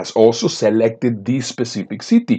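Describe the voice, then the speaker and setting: A man with a non-native accent speaks at a moderate pace in a medium pitch, his intonation lively against a quiet background. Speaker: business speaker and coach. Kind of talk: sales pitch.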